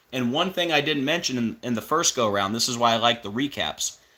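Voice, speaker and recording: Animated and bright, a man speaks in a sharp tone. The recording is very clean with a silent background. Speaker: religious conspiracy video host. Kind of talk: monologue video commentary.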